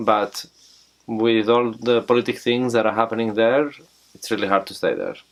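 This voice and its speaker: This man speaks in a Greek accent with monotone, flat intonation. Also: medium pitch for a man, moderate pace. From Greece, Athens. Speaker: farm volunteer. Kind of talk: interview.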